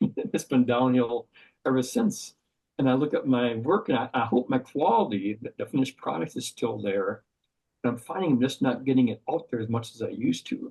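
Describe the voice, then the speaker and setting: A man speaks with an Upper Midwest accent. His pace is fairly quick. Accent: Upper Midwest American. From Wisconsin, Madison. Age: 60s. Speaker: outdoor writer. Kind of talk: podcast interview. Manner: halting.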